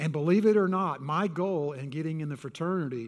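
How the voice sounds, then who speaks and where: A man speaks with a Texan accent. The recording is very clean, with a silent background. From Texas. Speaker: pastor. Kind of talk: sermon. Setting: church.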